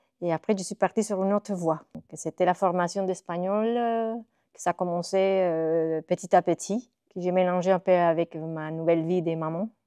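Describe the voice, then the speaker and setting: Speaking with a Spanish accent, a woman talks at a moderate pace in a fairly low pitch with a dark, mellow tone and fairly even intonation. Her loudness swings widely, and the sound is dry and close with no echo against a quiet background. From Costa Rica. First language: Spanish (speaking French). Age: 40s. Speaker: illustrator and graphic designer. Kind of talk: interview monologue. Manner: hesitant, many filler sounds.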